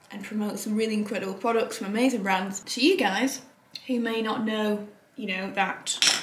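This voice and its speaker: In a room with audible echo, a woman speaks fairly quickly in a flat monotone. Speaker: beauty vlogger. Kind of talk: casual vlog chat. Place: home room. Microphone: camera far.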